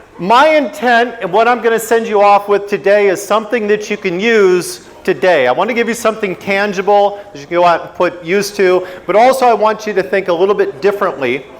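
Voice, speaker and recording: With an American accent, a man talks at a high pitch and fairly quick pace in an animated tone, with ordinary pitch variation and hardly any pauses, over noticeable background noise. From US, Washington state. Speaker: motorcycle riding instructor. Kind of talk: lecture. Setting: stage with audience.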